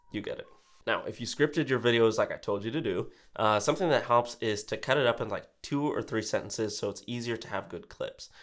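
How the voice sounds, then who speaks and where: A man's energetic voice at a fairly quick pace, on a very clean recording with a silent background. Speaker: real estate agent and YouTuber. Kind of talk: tutorial. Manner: energetic on camera; casual with filler words.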